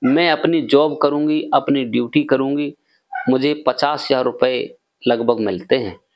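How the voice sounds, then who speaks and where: A man speaking at a very slow pace over a quiet background. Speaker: storyteller vlogger. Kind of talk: storytelling narration. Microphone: lapel.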